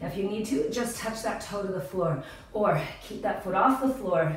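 Fairly slow speech in strong room echo. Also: woman. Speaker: fitness instructor. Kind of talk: workout class cueing. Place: home room.

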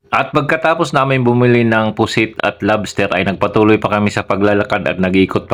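Talking at a fairly quick pace, the man uses ordinary pitch variation. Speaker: vlogger, overseas Filipino worker. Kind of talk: vlog narration. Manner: stumbling over words.

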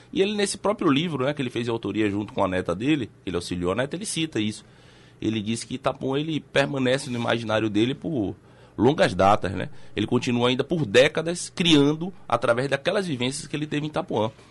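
A man rushes along at a very fast pace, his pitch swinging very widely. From Salvador, Bahia, Brazil. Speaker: documentary filmmaker and journalist. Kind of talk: radio interview. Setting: radio studio. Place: studio. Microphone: studio mic.

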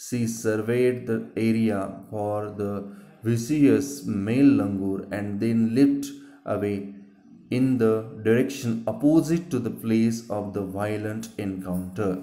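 Speaking very slowly with an Indian accent, a man uses a fairly low, dark, mellow voice with ordinary pitch variation. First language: Marathi. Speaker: teacher. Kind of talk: lecture.

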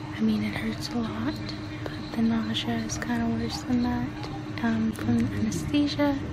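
Loud background noise surrounds a woman talking at a fairly slow tempo. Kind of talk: casual vlog chat. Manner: drowsy, weak post-anesthesia voice. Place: home room. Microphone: phone near.

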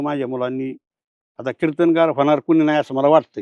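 A man's fairly high-pitched, flat monotone voice, dry and close with no echo. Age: 70s. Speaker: kirtan performer and spiritual speaker. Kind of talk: interview.

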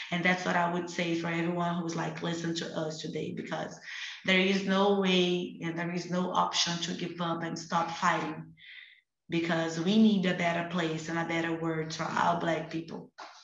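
A woman with a Portuguese accent speaks at a fairly low pitch in a monotone, flat intonation. Audible room echo surrounds her voice. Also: moderate pace. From Brazil, Rio de Janeiro favela. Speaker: activist; panelist. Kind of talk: online panel discussion. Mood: earnest, passionate. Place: home room. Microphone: video call.

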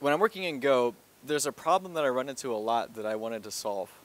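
The sound is dry, with no echo. The speech moves at a fairly quick pace with ordinary pitch variation. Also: man. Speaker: presenter. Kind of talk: lecture. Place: hall. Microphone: headset.

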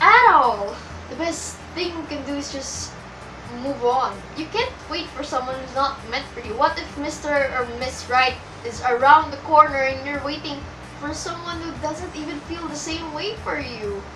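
With music in the background, a raised, projected voice moves at a moderate pace, showing big swings in loudness and ordinary pitch variation. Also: woman. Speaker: vlogger. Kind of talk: casual vlog chat. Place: home room. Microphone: webcam.

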